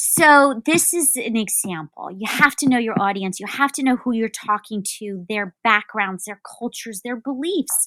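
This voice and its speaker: A woman speaks at a moderate pace with a bright, sharp tone, fairly high pitch and lively intonation. She leaves hardly any pauses, her loudness swings widely, and the sound is dry and close with no echo. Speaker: customer experience expert. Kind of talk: interview.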